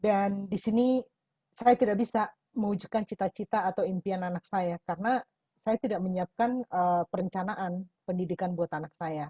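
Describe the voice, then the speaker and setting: Ordinary pitch variation in a somewhat breathy voice. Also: woman, medium pitch for a woman, moderate pace. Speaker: testimony giver in a webinar. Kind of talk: testimony. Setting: video call.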